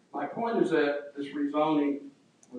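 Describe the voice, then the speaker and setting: At a moderate pace and a fairly high pitch, a man speaks through noticeable background noise. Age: 70s. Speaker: resident speaking at public hearing. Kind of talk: public comment at government meeting.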